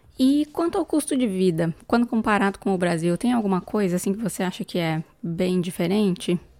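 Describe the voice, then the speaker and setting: A woman speaks at a moderate pace with hardly any pauses, her medium-pitched voice dark and mellow in tone with lively intonation, in a dry, close sound with no echo. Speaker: podcast co-host, business analyst. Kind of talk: casual interview.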